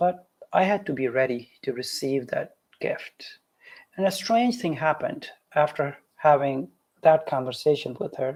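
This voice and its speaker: A man with a Pakistani accent at a fairly slow pace. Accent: South Asian (Pakistani) English. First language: Urdu. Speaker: physician. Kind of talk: lecture.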